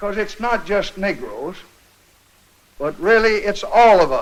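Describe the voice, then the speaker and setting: Speaking at a fairly slow pace with an American accent, a man uses a high pitch, a solemn tone and ordinary pitch variation. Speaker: president addressing a joint session of congress. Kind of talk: formal political speech, archival address. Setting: archival newsreel recording, chamber with audience. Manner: slow, solemn, deliberate.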